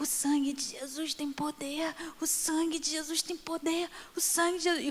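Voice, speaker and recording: In a strained, high-pitched, put-on character voice, the speaker goes at a moderate pace over light background noise. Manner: desperate, pleading.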